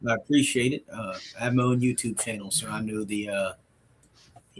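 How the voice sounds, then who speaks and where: Over crowd noise in the background, a man speaks with an American accent. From Newport News, Virginia, US. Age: 20s. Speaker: city council candidate. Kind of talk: casual interview.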